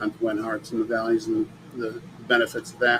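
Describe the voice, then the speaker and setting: The voice moves at a moderate pace with ordinary pitch variation, over noticeable background noise. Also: man. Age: 60s. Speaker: mindset coach and energy healer. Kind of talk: podcast monologue. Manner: casual, with fillers.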